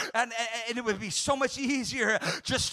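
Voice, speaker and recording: Over noticeable background noise, a man speaks in a raised, projected voice at an extremely high pitch with fairly even intonation. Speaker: pastor. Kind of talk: Pentecostal-style sermon, exhorting the congregation with call-and-response. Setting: church service, also streamed online. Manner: impassioned and rhythmic, piling up repeated 'you're never gonna' phrases; fervent crowd-rousing, prompting amens and applause.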